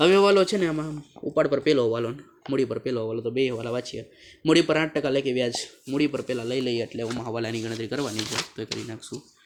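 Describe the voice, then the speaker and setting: Over noticeable background noise, a soft-spoken man talks at a medium pitch with ordinary pitch variation. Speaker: accountancy teacher. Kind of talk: tutorial.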